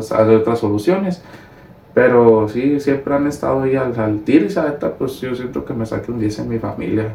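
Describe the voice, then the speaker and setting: Amid noticeable background noise, a man of medium pitch talks at a moderate pace with ordinary pitch variation. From Mexico, Sinaloa (Ahome). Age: 20s. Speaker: young politician and furniture business worker. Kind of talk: casual interview. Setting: video podcast.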